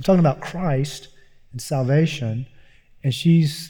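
A man with an American accent speaks at a moderate pace. His tone is dark and mellow, and somewhat breathy. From US South, Eastern Kentucky. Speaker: seminary professor and author. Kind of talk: live Q&A interview. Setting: stage with audience.

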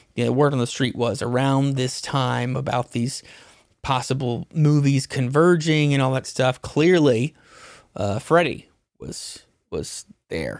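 This man speaks at a fairly high pitch in a very clean recording with a silent background. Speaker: podcast host. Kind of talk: casual chat. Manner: animated.

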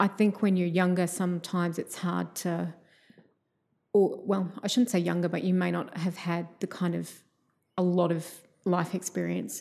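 With an Australian accent and a fairly low pitch, a woman talks at a moderate pace in a monotone, flat intonation, leaving long, frequent pauses. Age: 40s. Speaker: visual artist and PhD student. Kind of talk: casual interview.

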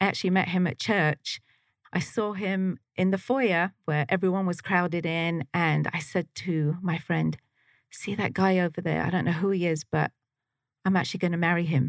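A woman with a southeast England accent speaks at a moderate pace and fairly low pitch, with fairly even intonation and very even loudness. The very clean recording has a silent background and a dry, close sound with no echo. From Slough, near London, England. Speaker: trauma recovery practitioner. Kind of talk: casual interview chat.

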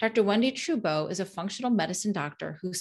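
Against a quiet background, a woman speaks at a fairly quick pace with lively intonation and a medium pitch. She has an unremarkable speaking voice. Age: 50s. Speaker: podcast host and health coach. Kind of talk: scripted intro; interview podcast.

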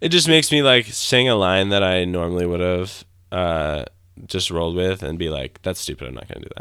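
A man with a Michigan accent speaks at a fairly quick pace in a very deep, low voice, his bright, sharp tone carried by lively intonation and big swings in loudness. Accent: Michigan, general American. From Grand Rapids, Michigan. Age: 20s. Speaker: musician, singer-songwriter. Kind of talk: casual interview.

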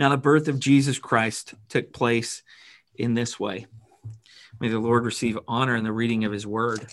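Against a quiet background, a man uses an ordinary speaking voice at a medium pitch, with fairly even intonation and a moderate pace. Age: 30s. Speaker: pastor. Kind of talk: sermon. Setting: church.

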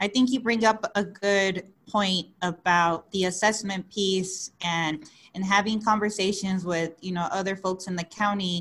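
A normal speaking voice at a fairly slow pace, with fairly even intonation. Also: woman, medium pitch for a woman. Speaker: podcast co-host. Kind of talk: podcast interview.

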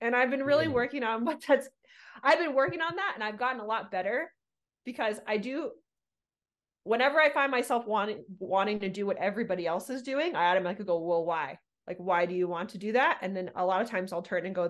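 Very fast speech from a woman with an American accent, fairly high in pitch with very wide pitch swings, over a quiet background. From Southern California. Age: 40s. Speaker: podcast host. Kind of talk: casual chat. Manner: animated.

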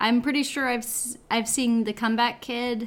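A woman speaks at a moderate pace with fairly high pitch and fairly even intonation, in an unremarkable speaking voice. The recording is very clean, the background silent. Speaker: podcast co-host. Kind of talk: casual chat, joking.

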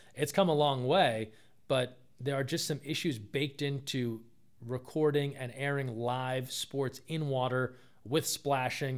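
A man with an American accent and a plain, everyday voice, at medium pitch with fairly even intonation, on a very clean recording with a silent background. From New Jersey. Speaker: sports communications director. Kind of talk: casual interview. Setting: in person at a college.

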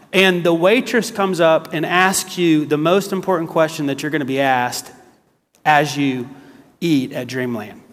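Speaking with an American accent, a man uses a fairly high pitch with ordinary pitch variation at a moderate pace. Audible room echo surrounds his voice. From US South, South Carolina. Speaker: guest preacher. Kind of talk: sermon. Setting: church.

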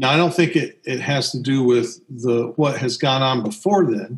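An American accent from a man at medium pitch, somewhat breathy, at a moderate pace with ordinary pitch variation. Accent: Southern US, shifts when he speaks of it. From US South. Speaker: podcast co-host. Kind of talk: casual conversational podcast discussion.

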